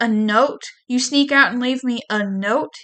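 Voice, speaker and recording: Hissing put-on character voice at a moderate pace, with ordinary pitch variation. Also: woman, high pitch for a woman. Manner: hissing angrily.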